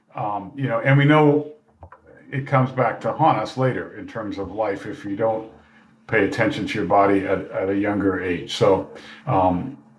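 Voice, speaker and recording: A man with a medium pitch speaks at a moderate pace. Noticeable background noise and audible room echo come through. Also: ordinary pitch variation. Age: 60s. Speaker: retired professor and mentor. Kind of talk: casual chat.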